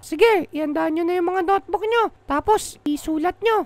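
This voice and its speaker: A man performs a put-on character voice at an extremely high pitch and a moderate pace. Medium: machinima. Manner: scolding, bossy.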